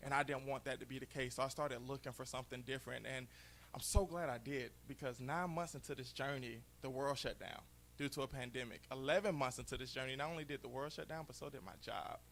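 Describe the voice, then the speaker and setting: Very fast speech with fairly even intonation and vocal fry. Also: man, medium pitch for a man. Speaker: network marketing entrepreneur, former beverage salesman. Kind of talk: motivational talk on stage. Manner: loud.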